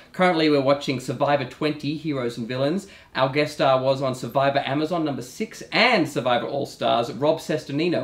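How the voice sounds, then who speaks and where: With an Australian accent, a man speaks at a fairly quick pace. His pitch is fairly high and varies in an ordinary way. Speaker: TV talk show host. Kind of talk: casual talk show chat. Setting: studio. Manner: animated.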